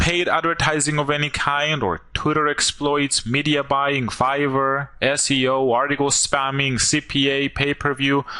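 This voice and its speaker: A man's fairly high voice with a non-native accent and a bright, sharp tone. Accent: foreign. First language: not English. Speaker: online marketer. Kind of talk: sales pitch.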